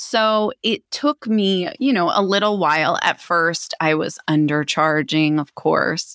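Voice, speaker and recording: An American-accented woman with a fairly low pitch speaks at a very slow pace with hardly any pauses and lively intonation, in a very clean recording with a silent background and a dry, close sound with no echo. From Philadelphia area, US, raised abroad (London, Canada) and Minneapolis. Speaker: psychic medium and spiritual teacher. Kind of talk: interview.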